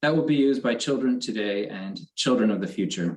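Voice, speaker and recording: In an American accent, a man with a plain, everyday voice and a medium pitch speaks at a moderate pace. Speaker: company quality manager. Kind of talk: award acceptance speech.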